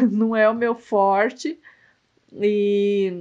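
Here a woman talks. Her voice sits at a medium pitch. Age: 50s. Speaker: podcast co-host, founder of a social project. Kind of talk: casual chat.

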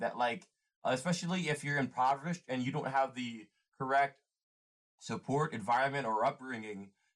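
A man with an American accent talks at a moderate pace in an ordinary speaking voice, his pitch medium. The recording is very clean, with a silent background. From US. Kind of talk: casual chat.

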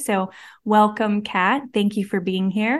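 A woman with an ordinary speaking voice talks at a fairly slow pace. The background is quiet. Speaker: podcast host. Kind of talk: interview.

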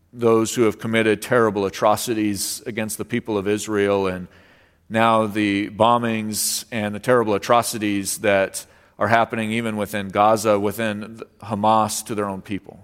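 A man speaks in a monotone with flat intonation. The recording is very clean, with a silent background. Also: fairly low pitch for a man, moderate pace. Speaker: pastor. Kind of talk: sermon with prayer; fervent prayer. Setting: church. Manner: earnest, reverent; measured, pausing often.

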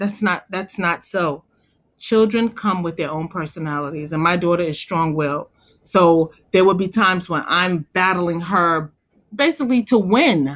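Against a quiet background, a woman with a plain, everyday voice speaks at a moderate pace and medium pitch, with ordinary pitch variation. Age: 40s. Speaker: stay-at-home mother. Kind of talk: casual chat. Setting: call.

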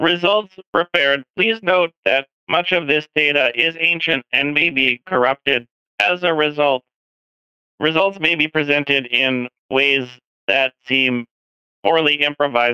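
It's a put-on character voice from a man. The pitch sits fairly high. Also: moderate pace.

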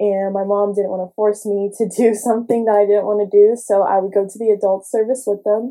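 In an American accent, a woman speaks at a fairly quick pace with hardly any pauses, using a dark, mellow tone, medium pitch and monotone, flat intonation. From Houston, Texas. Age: 20s. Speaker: podcast host. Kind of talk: personal testimony.

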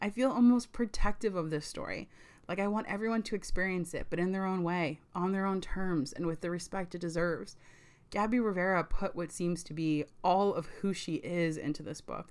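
In an ordinary speaking voice, a woman talks at a fairly quick pace and medium pitch, with ordinary pitch variation. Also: very clean recording, silent background. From US, Puerto Rican family. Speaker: book podcast host. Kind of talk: solo book review podcast.

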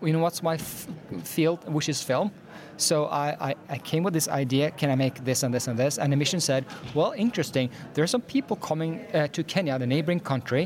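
A man's fairly high voice in a Norwegian accent at a fairly quick pace. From Norway. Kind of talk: interview. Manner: deadpan.

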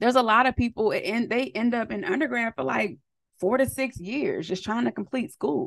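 With an American accent and vocal fry, this voice moves at a fairly quick pace in an animated tone with lively intonation. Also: woman, fairly high pitch for a woman. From US West Coast, San Diego County, California. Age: 30s. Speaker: podcast host, social worker. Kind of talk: casual solo monologue.

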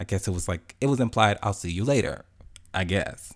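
A man with an American accent, fairly low in pitch, speaking at a very fast pace with ordinary pitch variation, on a very clean recording with a silent background. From Chicago. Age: 20s. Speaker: podcast host. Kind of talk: casual monologue. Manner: animated.

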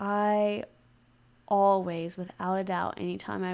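A woman is speaking. The background is quiet. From US South, Mississippi Gulf Coast. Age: 20s. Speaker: hairstylist and podcaster. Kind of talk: casual monologue.

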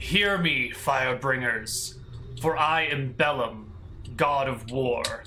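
A man's put-on character voice at medium pitch and a fairly slow pace, over clear background noise. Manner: commanding, majestic.

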